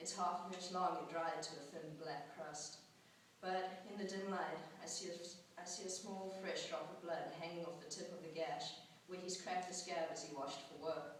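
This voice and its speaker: A woman's fairly low voice in a flat monotone at a moderate pace, over noticeable background noise. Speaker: student writer. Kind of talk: personal essay reading at a poetry slam. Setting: live event.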